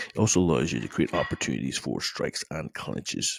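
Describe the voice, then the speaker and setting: A quiet man at a moderate pace, with a dry, close sound and no echo. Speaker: MMA coach. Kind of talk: instructional talk to camera. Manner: quiet, low-volume.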